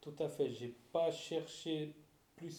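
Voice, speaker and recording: The voice belongs to a man with a dark, mellow tone. Audible room echo surrounds it. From Switzerland, Fribourg. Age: 40s. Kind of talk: interview.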